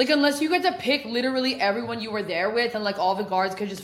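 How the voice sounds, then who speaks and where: In an American accent, a woman speaks loudly and very fast at a fairly high pitch, her intonation lively and the room echo audible. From Oregon. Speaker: podcast host, person in addiction recovery. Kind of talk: casual chat. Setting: apartment.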